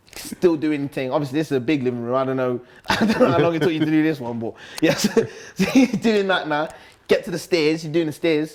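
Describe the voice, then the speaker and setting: With a Nottingham accent, a man speaks very fast in a fairly high voice with lively intonation. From Nottingham, England (Top Valley). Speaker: grime MC. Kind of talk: casual interview. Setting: live-streamed sit-down interview. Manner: loud, hyperactive.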